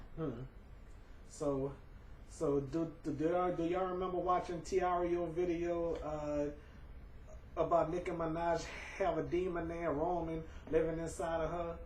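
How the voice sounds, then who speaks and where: A man with a high pitch talks at a moderate pace in a monotone, flat way. He leaves long, frequent pauses, and the room echo is audible. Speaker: vlogger. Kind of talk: casual vlog commentary. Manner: halting, many repetitions.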